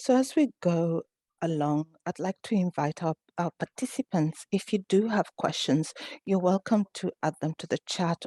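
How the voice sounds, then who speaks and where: In an East African accent, a woman speaks at a fairly slow pace and medium pitch, her dark, mellow tone showing ordinary pitch variation over a quiet background in a dry, close recording with no echo. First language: Swahili. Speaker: author and event moderator. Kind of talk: online panel interview.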